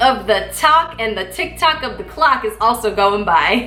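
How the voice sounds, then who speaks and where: Amid noticeable background noise and audible room echo, a woman with a fairly high voice speaks at a fairly slow pace, her pitch making very wide swings. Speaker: YouTuber. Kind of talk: casual chat.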